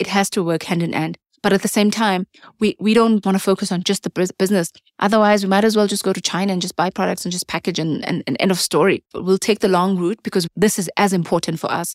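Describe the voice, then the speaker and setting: Delivered at a very fast pace with fairly even intonation, the voice comes through a very clean recording with a silent background and a dry, close sound with no echo. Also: woman, medium pitch for a woman. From South Africa, rural area. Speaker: food entrepreneur. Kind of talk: interview conversation.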